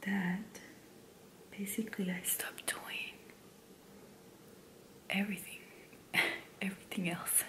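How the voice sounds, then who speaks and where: A woman whispers at a fairly slow pace, with long pauses coming often. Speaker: stay-at-home mom and ASMR creator. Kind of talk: casual talk to camera, life update. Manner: soft-spoken, whispering. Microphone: studio mic.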